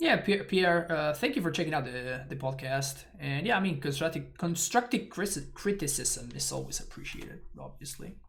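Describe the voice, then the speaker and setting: With lively intonation and hardly any pauses, a man mumbles at a fairly high pitch. Audible room echo surrounds his voice. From Argentina. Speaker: Magic: The Gathering streamer. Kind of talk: live gameplay commentary. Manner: fast; mumbling.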